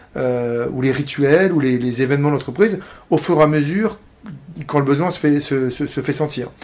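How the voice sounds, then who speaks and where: A man talks at a moderate pace with ordinary pitch variation. His pitch sits fairly high. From Paris, France. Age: 40s. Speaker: entrepreneur, IT services company founder. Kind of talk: interview. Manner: halting, many repetitions and hesitations.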